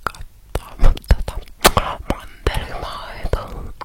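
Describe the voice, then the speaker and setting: The voice is whispering. Background noise can be clearly heard. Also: woman. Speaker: ASMR creator. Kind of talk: ASMR unboxing, casual talk to camera. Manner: whispering, soft, casual.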